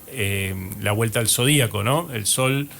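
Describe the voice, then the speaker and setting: Over music in the background, a man talks at a fairly slow pace with a Rioplatense accent. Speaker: radio host and astrologer. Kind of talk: radio show monologue.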